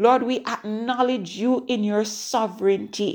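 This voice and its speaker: A woman with a plain, everyday voice speaks at a fairly slow pace, her fairly high pitch showing ordinary variation, on a very clean recording with a silent background. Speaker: prayer podcast host. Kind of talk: fervent prayer. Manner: fervent, insistent, repetitive; warm, encouraging.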